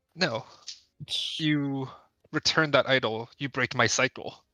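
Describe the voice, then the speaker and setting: Putting on a character voice, a man speaks raspily at a fairly slow pace and a medium pitch. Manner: refusing, stern.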